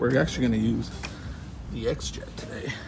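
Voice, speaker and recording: A man speaks with music in the background. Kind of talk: casual vlog chat. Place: street. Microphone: phone near.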